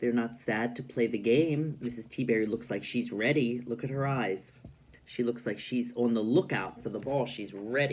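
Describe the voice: Ordinary pitch variation in plain reading aloud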